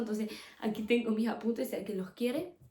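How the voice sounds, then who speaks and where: Fairly high in pitch, a woman's voice has a dark, mellow tone and is somewhat breathy. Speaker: podcast host. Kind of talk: religious teaching podcast. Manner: fast; casual.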